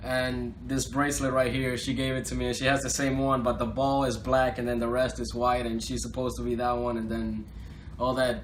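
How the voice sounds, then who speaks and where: The speaker has a Spanish accent and a fairly quick pace. Audible room echo and noticeable background noise are present. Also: man. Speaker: rapper. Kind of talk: interview. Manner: casual, filler-heavy.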